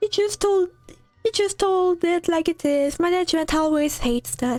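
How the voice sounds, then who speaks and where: Over faint background music, a squeaky, put-on character voice moves at a moderate pace. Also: woman. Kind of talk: Edwardian formal speech. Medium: solo performance.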